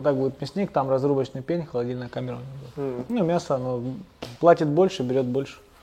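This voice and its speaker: Over noticeable background noise, a man at medium pitch talks at a very fast pace yet leaves long, frequent pauses. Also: ordinary pitch variation. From Pyatigorsk, North Caucasus, Russia. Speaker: small business co-founder. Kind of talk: interview. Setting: construction site.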